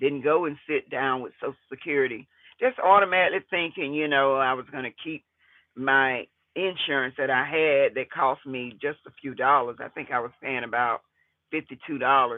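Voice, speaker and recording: A plain, everyday voice from a man with an American accent, fairly high in pitch, with ordinary pitch variation and a moderate pace. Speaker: retiree vlogger and landlord. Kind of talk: casual vlog monologue.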